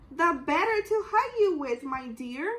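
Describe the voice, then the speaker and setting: A put-on character voice, squeaky and growling, at a fairly slow pace. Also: woman, extremely high pitch for a woman. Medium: read story.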